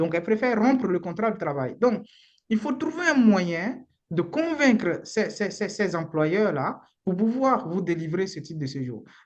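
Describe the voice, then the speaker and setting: The speaker talks at a fairly slow pace with a Beninese accent. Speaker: immigration lawyer. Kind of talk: live webinar talk. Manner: halting, repeats words.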